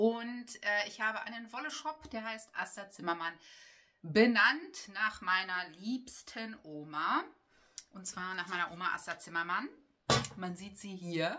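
A woman's bright, sharp voice at a very slow pace, with lively intonation and big swings in loudness. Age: 40s. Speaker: knitting vlogger and yarn shop owner; knitting vlogger. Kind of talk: casual chat. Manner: hesitant, with many filler sounds. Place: home room. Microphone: camera far.

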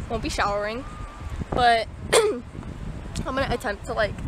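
Over noticeable background noise, a woman talks in a high pitch, and the sound is dry with no echo. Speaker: vlogger. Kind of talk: casual vlog chat. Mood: shaken but laughing. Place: beach. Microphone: phone near.

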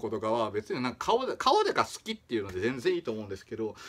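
A man speaks with a Kagoshima accent. His pace is very fast. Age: 30s. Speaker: small-channel vlogger. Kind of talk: casual talk to camera. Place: home room. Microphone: phone near.

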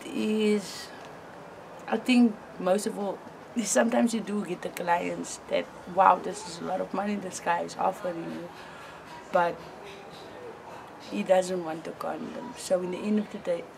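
A woman speaks with long, frequent pauses and ordinary pitch variation, her loudness swinging widely over noticeable background noise. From Cape Town, South Africa. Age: 20s. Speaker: sex worker and advocacy lobbyist. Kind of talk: interview answer. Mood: frank, sometimes smiling despite grim topic. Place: street.

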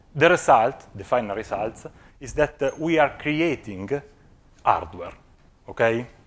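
A man with an Italian accent, a fairly slow pace, long, frequent pauses, lively intonation and big swings in loudness. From Italy. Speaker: physics researcher; conference presenter. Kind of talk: conference talk. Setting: stage with audience. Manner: halting, many filler sounds. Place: hall.

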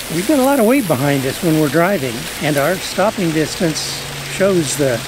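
Noticeable background noise surrounds a man as he speaks at a moderate pace. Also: dry sound with no echo. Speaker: RV travel vlogger. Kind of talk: casual vlog chat. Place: garden.

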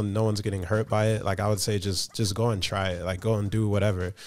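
At a very fast pace, the speaker talks with an American accent. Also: man. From UK (London) with US time. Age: 30s. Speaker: content creator and traveler; podcast guest. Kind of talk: casual chat. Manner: cheerful, jokey. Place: studio. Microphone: studio mic.

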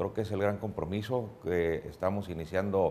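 Over light background noise, a man with a very deep, low pitch speaks at a moderate pace with ordinary pitch variation. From Mexico, Tijuana; Mexico. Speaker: political candidate; candidate. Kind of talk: radio interview. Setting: studio. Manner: formal. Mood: calm, measured political talk. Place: studio. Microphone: lapel.

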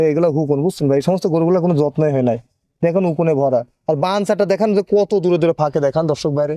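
A man speaks in a normal speaking voice, fairly high-pitched for a man, with ordinary pitch variation. The sound is dry and close, with no echo. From Pabna, Bangladesh. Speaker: dairy farmer. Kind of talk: casual sales pitch on a farm tour.

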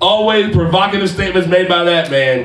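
Lively intonation carries over audible room echo. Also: man. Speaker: wrestling ring announcer. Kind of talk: wrestling promo, hyping a tournament match. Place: studio.

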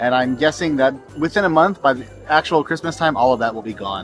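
A man at a very fast pace with ordinary pitch variation, a dry sound with no echo, and clear music in the background. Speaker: travel vlogger. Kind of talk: casual vlog chat. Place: market. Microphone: phone near.

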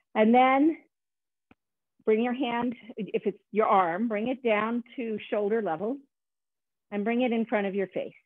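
Calm in tone, the speaker moves at a fairly slow pace with long, frequent pauses and ordinary pitch variation, the sound dry with no echo over a quiet background. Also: woman, fairly high pitch for a woman. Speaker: movement meditation teacher. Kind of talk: guided meditation. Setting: video call. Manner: calm, slow, instructive. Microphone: video call.

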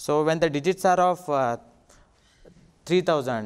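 Against a quiet background, a man speaks with an Indian accent. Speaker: assistant professor. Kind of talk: conference talk. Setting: stage with audience. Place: hall. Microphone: handheld.

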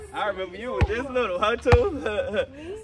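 Loud background noise surrounds a man as he talks. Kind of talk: casual banter. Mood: teasing, playful. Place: street. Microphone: phone near.

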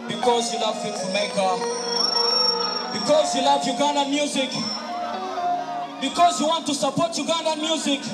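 The man talks at a fairly slow pace. Clear music plays in the background. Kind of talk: stage banter to audience. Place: stage.

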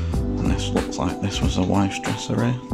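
A man speaks over loud music in the background. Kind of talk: casual vlog commentary. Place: home room. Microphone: phone near.

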